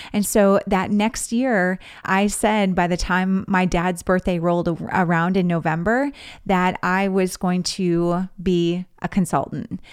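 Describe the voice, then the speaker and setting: On a very clean recording with a silent background, a woman speaks at a fairly slow pace in a plain, everyday voice, medium in pitch with fairly even intonation. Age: 40s. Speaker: podcast host and fundraising coach. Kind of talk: solo podcast monologue.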